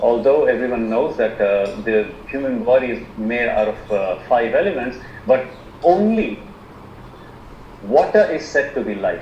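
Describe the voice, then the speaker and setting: A man speaks at a fairly slow pace, with long, frequent pauses. Noticeable background noise and audible room echo surround him. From India. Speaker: alternative medicine practitioner. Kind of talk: online presentation. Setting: video call. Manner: halting, many fillers.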